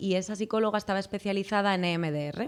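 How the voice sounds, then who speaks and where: A woman's very fast speech at a medium pitch, with ordinary pitch variation. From Spain, Madrid. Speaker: clinical psychologist. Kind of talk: podcast interview. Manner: hesitant, with many fillers.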